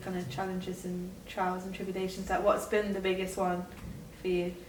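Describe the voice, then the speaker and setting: Amid noticeable background noise, a woman with a medium pitch speaks at a fairly quick pace. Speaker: interviewer, podcast host. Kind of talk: interview questions.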